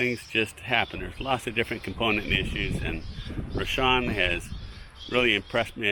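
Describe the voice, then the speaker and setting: Fairly low-pitched man's voice at a moderate pace, with noticeable background noise. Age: 60s. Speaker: fig farmer and video blogger. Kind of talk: casual vlog talk. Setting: outdoors in an orchard. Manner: halting, many fillers.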